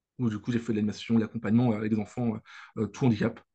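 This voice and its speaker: Medium in pitch, a man's voice stays monotone, with flat intonation. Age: 20s. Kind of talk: interview. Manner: halting, many hesitations and repeats.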